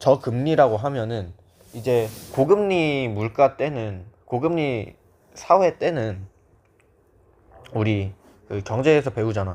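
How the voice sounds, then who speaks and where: The delivery is very slow, with long, frequent pauses but lively intonation. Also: man, medium pitch for a man. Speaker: history tutor. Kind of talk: lecture. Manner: casual, informal.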